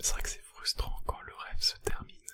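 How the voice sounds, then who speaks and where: Someone whispers at a moderate pace. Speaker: ASMR creator. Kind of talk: casual reaction commentary. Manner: whispered, soft-spoken.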